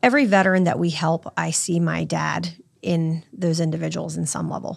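A woman with an American accent has an unremarkable speaking voice with fairly low pitch. She talks at a moderate pace in a very clean recording with a silent background. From Virginia Beach, Virginia. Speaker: charity founder. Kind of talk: interview.

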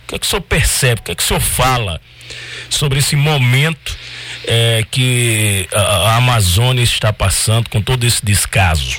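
Noticeable background noise sits behind a man at a medium pitch. He speaks at a moderate pace with ordinary pitch variation. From Triunfo, Pernambuco, Brazil. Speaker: radio co-host. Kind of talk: radio talk show.

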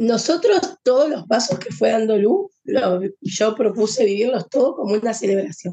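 A woman speaks with a Rioplatense accent at a moderate pace. Her fairly high pitch rises and falls with lively intonation. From Argentina, Buenos Aires. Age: 40s. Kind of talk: interview testimony.

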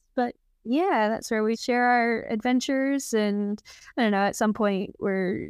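A woman in a Texan accent, with fairly even intonation. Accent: Texan American. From Texas. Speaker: surfer and outdoor adventurer. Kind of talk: casual interview chat.

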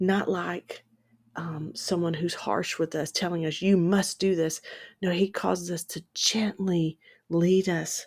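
Fairly slow speech from a woman in a normal speaking voice. Her fairly low pitch carries fairly even intonation. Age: 50s. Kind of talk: devotional teaching.

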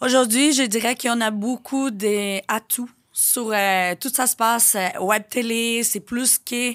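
A woman with a Portuguese accent speaks very slowly at a fairly high pitch, her intonation fairly even, in a very clean, dry, close recording with no echo and a silent background. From Brazil. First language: Portuguese (speaking French). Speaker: influencer and reality TV personality. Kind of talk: casual interview.

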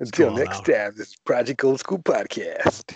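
A man speaks in a raspy, put-on character voice. His pace is moderate. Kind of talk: radio announcer delivery. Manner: cheesy.

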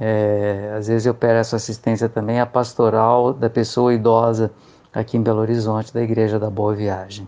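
A man's medium-pitched, monotone, flat delivery at a moderate pace over a quiet background. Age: 40s. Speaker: occupational therapist. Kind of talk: interview testimony. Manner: halting.

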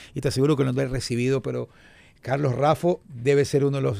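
The voice has a dark, mellow tone. The pace is fairly quick. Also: man. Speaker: sports radio host. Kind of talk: casual chat.

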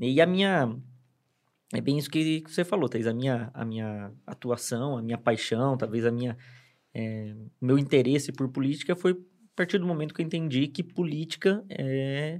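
A man has a plain, everyday voice at a fairly high pitch, with lively intonation and a moderate pace. The recording is very clean, with a silent background. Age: 30s. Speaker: city councillor and advertising professional. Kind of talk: casual chat. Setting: studio.

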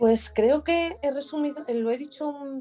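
Noticeable background noise behind a woman talking at a fairly slow pace. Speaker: business owner. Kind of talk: interview. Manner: halting.

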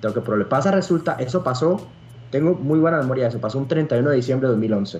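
Talking at a very fast pace, a man with a medium pitch sounds somewhat breathy and uses lively intonation. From Costa Rica. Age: 20s. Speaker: competitive fighting game player. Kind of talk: podcast interview.

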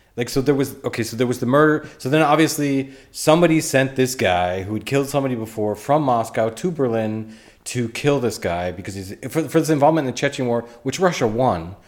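A man talks at a fairly quick pace in a medium pitch. He has a normal speaking voice with ordinary pitch variation. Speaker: true crime podcast host and comedian. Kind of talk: casual interview chat. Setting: Berlin, Germany.

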